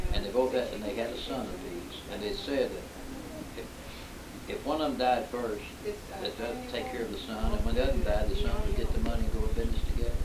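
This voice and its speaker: Loud background noise fills the clip as a man speaks very fast. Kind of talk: storytelling reminiscence. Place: home room. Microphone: old recording.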